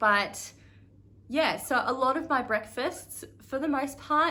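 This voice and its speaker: With an Australian accent, a woman talks in a bright, sharp tone with ordinary pitch variation, and audible echo fills the room. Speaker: thru-hiker vlogger. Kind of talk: casual vlog talk to camera. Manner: casual with frequent fillers.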